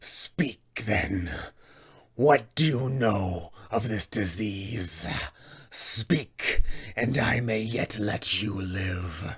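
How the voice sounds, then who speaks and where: Raspy and very slow, this is a put-on character voice. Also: man, fairly low pitch for a man. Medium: tutorial demo. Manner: menacing, commanding.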